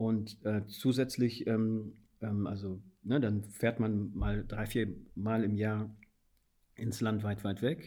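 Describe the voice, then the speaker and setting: A man with a dark, mellow tone, flat monotone delivery, a very slow pace and long, frequent pauses. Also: fairly low pitch for a man. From Guinea. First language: Fula (speaking German). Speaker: policy adviser and anti-racism trainer. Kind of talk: interview. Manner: halting, many fillers.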